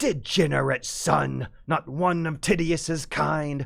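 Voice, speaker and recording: A raspy, put-on character voice sits at a low-to-middle pitch. It moves at a fairly slow pace. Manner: scolding.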